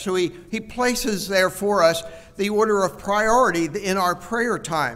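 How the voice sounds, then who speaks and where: A high-pitched man at a fairly slow pace, with ordinary pitch variation. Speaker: preacher. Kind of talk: sermon. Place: church. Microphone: headset.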